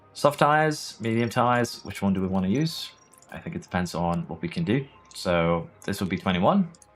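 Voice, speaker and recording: Over music in the background, a man with a medium pitch talks at a fairly quick pace, making very wide pitch swings. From Norway. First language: Norwegian. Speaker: gaming streamer. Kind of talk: live gameplay stream commentary. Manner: casual, conversational.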